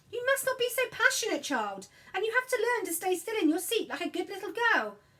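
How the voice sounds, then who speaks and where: In a put-on character voice, a woman speaks squeaky and extremely high, raised and projected, with lively intonation at a fairly quick pace. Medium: read story. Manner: gentle, kindly.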